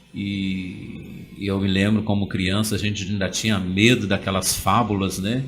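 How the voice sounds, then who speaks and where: With music in the background and audible room echo, a man speaks fairly slowly at a fairly low pitch in a monotone, flat intonation. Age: 40s. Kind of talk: interview. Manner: hesitant, many fillers.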